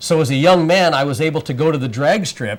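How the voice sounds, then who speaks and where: This man has an ordinary speaking voice, pitched fairly high. He talks at a moderate pace. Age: 60s. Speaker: drag racer. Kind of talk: studio interview.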